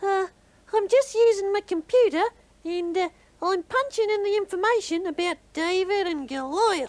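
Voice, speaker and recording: At a moderate pace, a put-on character voice speaks with an extremely high pitch. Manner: hesitant.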